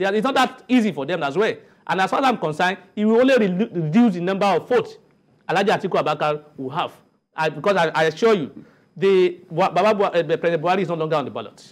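Talking at a very fast pace, a man uses lively intonation in a high pitch. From Nigeria. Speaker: politician and lawyer; politician, lawyer. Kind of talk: TV panel debate. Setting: TV studio. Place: studio. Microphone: lapel.

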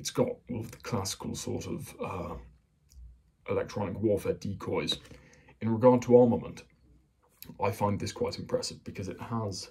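The quiet voice moves at a moderate pace, broken by long, frequent pauses. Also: man. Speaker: hobbyist explainer. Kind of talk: casual military explainer talk. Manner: monotonous; quiet, kept down. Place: home room. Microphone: phone near.

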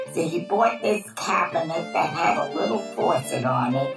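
Clear music plays behind a woman speaking at a moderate pace with an American accent. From Brooklyn, New York. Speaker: Holocaust-era eyewitness. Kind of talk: documentary interview answer. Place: home room.

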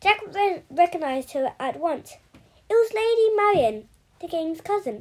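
This is an unforced reading voice with lively intonation.

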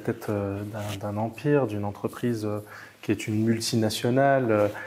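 A man speaks at medium pitch in a monotone, flat intonation. Light background noise is present. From immigrant to France. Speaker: interview host. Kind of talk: interview. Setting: outdoors by the Mediterranean. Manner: hesitant, many fillers. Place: home room. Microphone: lapel.

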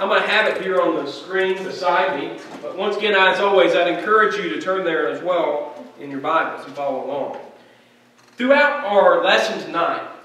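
A raised, projected voice with lively intonation, a moderate pace, big swings in loudness, and audible room echo. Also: man. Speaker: preacher. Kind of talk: sermon. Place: church.

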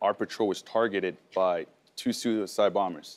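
The speaker goes at a fairly quick pace with fairly even intonation. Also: man. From France, moved to US at 11. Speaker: war veteran, medal recipient; guest. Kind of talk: talk show interview. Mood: serious, composed storytelling. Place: studio.

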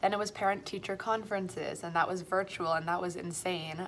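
A woman's fairly low voice with a Canadian accent, a very fast pace and fairly even intonation, over light background noise. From Toronto, Canada. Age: 20s. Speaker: primary school French teacher. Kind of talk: casual vlog. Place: classroom. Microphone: phone near.

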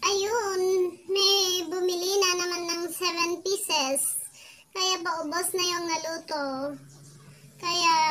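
A raised, projected voice at a very slow pace, fairly even in intonation, with long, frequent pauses. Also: woman. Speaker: home food seller. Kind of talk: casual vlog chat. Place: home room. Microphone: phone near.

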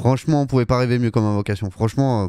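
With a dark, mellow tone and ordinary pitch variation, a man speaks in a dry sound with no echo over a quiet background. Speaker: gaming YouTuber; gaming streamer. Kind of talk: casual live-style gameplay commentary. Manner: casual, chatty, enthusiastic. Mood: pleased with summon results. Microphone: studio mic.

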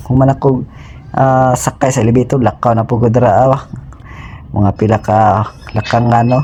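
A man talks at a moderate pace with long, frequent pauses. His medium pitch has fairly even intonation and very even loudness. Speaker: travel vlogger, overseas worker. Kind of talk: travel vlog narration. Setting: airport. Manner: halting.

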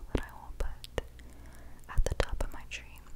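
Noticeable background noise runs through the clip. Over it, a woman whispers. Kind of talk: ASMR voice-over. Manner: soft-spoken.

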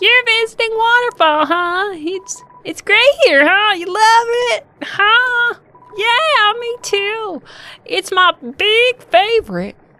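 An extremely high-pitched, put-on character voice delivers its lines at a very slow pace. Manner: eager, rambling, repeats huh.

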